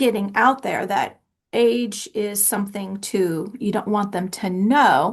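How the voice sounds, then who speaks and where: The woman has an ordinary speaking voice at a medium pitch. She talks at a fairly slow pace with ordinary pitch variation. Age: 50s. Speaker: podcast host. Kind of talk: podcast interview.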